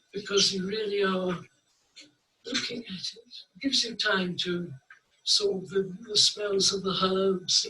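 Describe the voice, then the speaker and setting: A man's raised, projected voice, high in pitch, with big swings in loudness, fairly even intonation, a fairly slow pace and long, frequent pauses. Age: 90s. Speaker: painter. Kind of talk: interview. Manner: halting.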